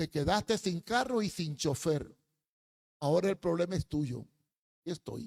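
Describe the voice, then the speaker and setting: With a high pitch and lively intonation, a man talks at a fairly slow pace with long, frequent pauses, the sound dry and close with no echo. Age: 80s+. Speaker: preacher. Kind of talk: sermon.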